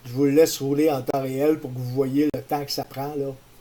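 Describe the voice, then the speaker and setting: The voice has a Quebec accent and a dark, mellow tone. It moves at a fairly quick pace with monotone, flat intonation. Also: man. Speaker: tutorial maker. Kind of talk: tutorial.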